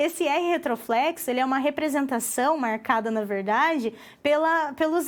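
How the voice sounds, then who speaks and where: A woman with a Paraná accent talks at a fairly slow pace with lively intonation. The recording is very clean, with a silent background. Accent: Paraná accent with retroflex R. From Paraná, southern Brazil. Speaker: university lecturer. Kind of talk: lecture.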